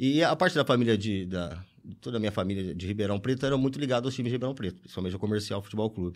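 A man with a fairly low pitch talks at a very fast pace with lively intonation. The recording is very clean with a silent background. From interior of São Paulo state, Brazil. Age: 40s. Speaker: football fan. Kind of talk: casual chat. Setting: studio.

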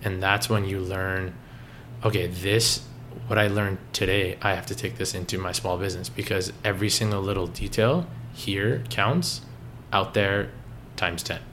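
With a Canadian accent, a man speaks at a moderate pace in a fairly low voice with vocal fry and ordinary pitch variation, and audible room echo surrounds him. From Canada, Toronto area (Richmond Hill). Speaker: coffee shop co-owner, former accountant. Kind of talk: interview.

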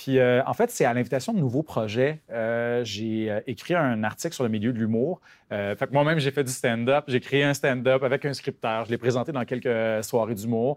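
It is a normal speaking voice with fairly even intonation and hardly any pauses. The sound is dry and close with no echo, over a quiet background. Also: man, medium pitch for a man, moderate pace. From rural Quebec. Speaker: novelist. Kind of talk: interview.

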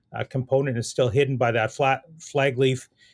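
With a Canadian Prairie accent, a man talks at a moderate pace and medium pitch in a monotone, flat intonation. The sound is dry and close, without echo. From Saskatchewan, Canada. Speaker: animal nutrition professor. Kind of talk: interview on research.

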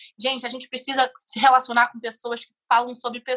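A woman speaks with a high pitch and fairly even intonation. Her tone is bright and sharp. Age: 20s. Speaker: podcast guest. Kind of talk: casual interview chat.

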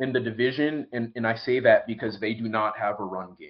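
Speaking in a plain, everyday voice, a man keeps a moderate pace at medium pitch. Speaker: NFL reporter. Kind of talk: interview. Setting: remote from home.

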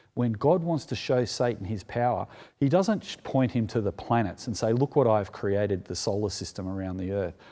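On a very clean recording with a silent background, a man speaks at a moderate pace with hardly any pauses, a dark, mellow tone, medium pitch and lively intonation. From Sydney, Sutherland Shire. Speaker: preacher. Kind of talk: sermon.

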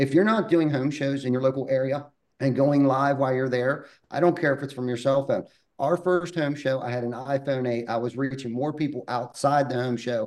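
This man has an unremarkable speaking voice, medium in pitch, with fairly even intonation at a moderate pace. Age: 40s. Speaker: roofing company owner. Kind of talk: podcast interview.

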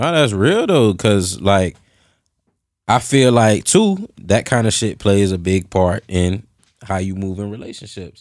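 Ordinary rise and fall in pitch, captured in a very clean recording against a silent background. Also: man, fairly low pitch for a man, fairly slow pace. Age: 30s. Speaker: podcast co-host. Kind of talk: casual chat.

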